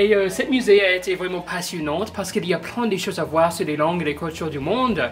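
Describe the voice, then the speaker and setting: A woman with a non-native accent at a fairly quick pace, with noticeable background noise. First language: not French (speaking French). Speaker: museum visitor. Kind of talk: interview testimony. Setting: museum. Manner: halting, many hesitations.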